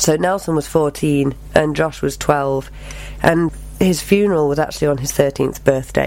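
Noticeable background noise sits behind this recording. A woman talks at a moderate pace. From England, Cheshire (Knutsford). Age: 40s. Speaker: performing arts teacher and tribute singer. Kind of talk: casual interview.

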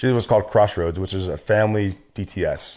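Against a quiet background, a man with an American accent speaks with fairly even intonation. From US West Coast, Orange County, Southern California. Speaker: army veteran. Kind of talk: casual interview about his life story. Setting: studio.

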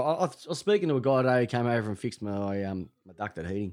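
Very fast and with very wide pitch swings, a man talks with an Australian accent. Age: 40s. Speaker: sports podcast host. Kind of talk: casual chat.

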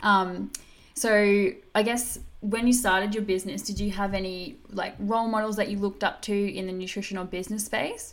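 Moderately paced speech from a woman, medium in pitch and fairly even in intonation. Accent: Australian. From Australia. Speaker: podcast host and dietitian. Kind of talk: podcast interview.

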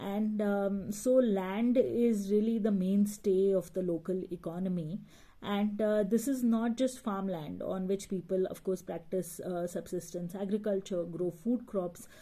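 This woman talks at a fairly slow pace with a medium pitch, ordinary pitch variation, a somewhat breathy quality and a dark, mellow tone. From Middle East, Gujarati family. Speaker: social worker and environmental activist. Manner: hesitant, many fillers.

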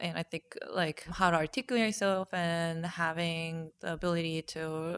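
With a Korean accent, a woman with a fairly low pitch is heard in a dry, close recording with no echo, very clean and with a silent background. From South Korea. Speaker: painter. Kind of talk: casual interview. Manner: halting.

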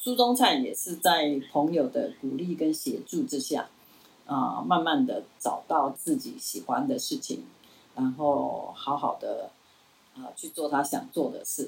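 A woman speaking at a fairly slow pace, with big swings in loudness. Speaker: retired professor. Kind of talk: interview.

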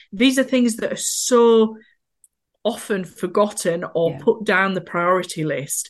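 With a Yorkshire accent, a woman speaks at a fairly slow pace in a medium pitch with ordinary pitch variation. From northern England, Yorkshire. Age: 30s. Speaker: accessibility consultant, wheelchair user. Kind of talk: casual interview chat.

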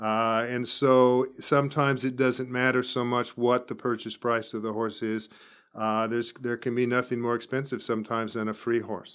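Against a silent background in a very clean recording, a man with an American accent talks at a moderate pace and medium pitch in a monotone, flat way. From US, northern San Diego County, California. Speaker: large animal veterinarian. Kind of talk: interview.

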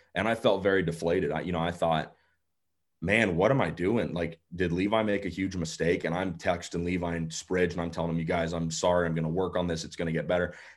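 In an American accent, a man talks at a very fast pace with a very deep, low pitch. His intonation stays fairly even. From Colorado. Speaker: motorsports announcer. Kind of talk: casual chat.

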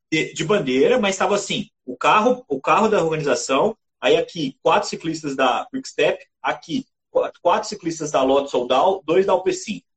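A man's high voice at a moderate pace, full of lively intonation. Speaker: cycling podcast host and TV commentator. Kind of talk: casual sports chat.

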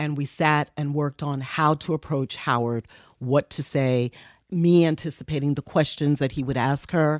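A woman with an American accent, very deep and low in pitch, at a moderate pace on a very clean recording with a silent background. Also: dry, close sound with no echo. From New York (Bronx, Harlem). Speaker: radio personality and music executive. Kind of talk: interview storytelling. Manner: soothing.

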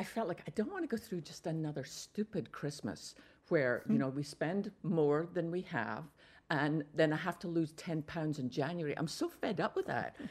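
A woman in a Scottish accent speaks at a fairly low pitch and a moderate pace, her intonation lively. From Scotland. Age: 60s. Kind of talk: radio interview. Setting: remote from Texas.

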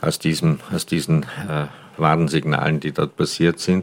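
A man's very deep, low voice, very slow and monotone with flat intonation, over noticeable background noise. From Austria, Tyrol (Paznaun valley). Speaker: regional hunting association head and wine tavern owner. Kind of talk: interview. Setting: on location at his wine tavern, mobile recording.

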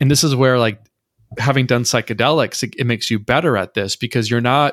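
An unremarkable speaking voice from a man with an American accent, medium pitch and ordinary pitch variation, in a dry, close sound with no echo on a very clean recording with a silent background. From rural Minnesota, US Midwest. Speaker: poet and meme creator. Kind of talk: casual interview conversation.

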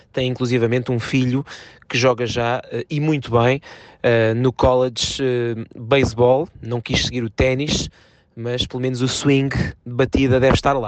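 Delivered at a fairly slow pace, the speech has a monotone, flat intonation. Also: man, medium pitch for a man. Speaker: tennis journalist and commentator. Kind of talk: interview.

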